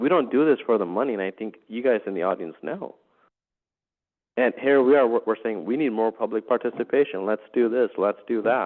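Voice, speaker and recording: A man at medium pitch, with ordinary pitch variation and a fairly quick pace. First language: not English. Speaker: city councilmember. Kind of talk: council meeting discussion.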